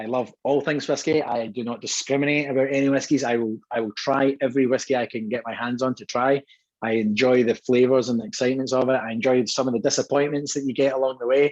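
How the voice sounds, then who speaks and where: A man speaks very fast in a Scottish accent, with hardly any pauses. His pitch is medium and his intonation fairly even. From Scotland, Dumbarton near Glasgow. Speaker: whisky brand co-owner. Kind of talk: guest talk at online tasting. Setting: video call.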